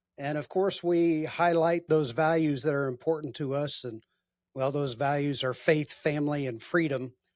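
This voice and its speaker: This is a normal speaking voice, a man's, at a fairly high pitch. He talks at a moderate pace with fairly even intonation. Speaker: podcast host. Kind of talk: interview questions.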